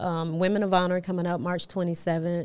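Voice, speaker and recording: A woman with an American accent and a normal speaking voice, medium pitch and moderate pace, in a very clean recording with a silent background. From Atlanta area, US South. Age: 50s. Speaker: modeling agency owner. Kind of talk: casual interview chat.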